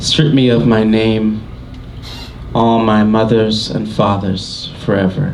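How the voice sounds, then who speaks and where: Very slow and at very even loudness, a man with a fairly low pitch keeps a fairly even intonation amid audible room echo and noticeable background noise. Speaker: poet and musician. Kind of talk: poetry reading. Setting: stage with audience.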